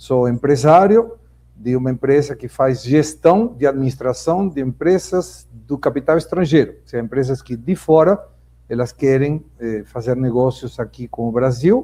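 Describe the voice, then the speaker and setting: With a Spanish accent, a man talks at a fairly slow pace in a medium pitch, his tone dark and mellow, his pitch varying in an ordinary way while his loudness swings widely. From Argentina, Buenos Aires. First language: Spanish (speaking Portuguese). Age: 60s. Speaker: business owner and political commentator. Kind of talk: debate opening statement. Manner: formal.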